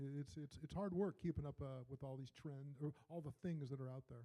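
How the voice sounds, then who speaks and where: Fairly quick and somewhat breathy, a man speaks at a fairly high pitch in a dark, mellow tone. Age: 60s. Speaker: real estate investor. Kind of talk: meetup presentation. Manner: halting, stammering.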